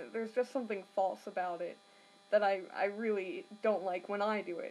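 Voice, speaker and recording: The speech moves at a moderate pace. Noticeable noise sits in the background. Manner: hesitant, many fillers.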